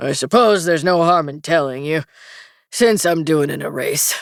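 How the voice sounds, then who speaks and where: A put-on character voice, gruff, growling and rumbling at a middle pitch and moderate pace, on a very clean recording with a silent background. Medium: read story. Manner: gruff, grumbling.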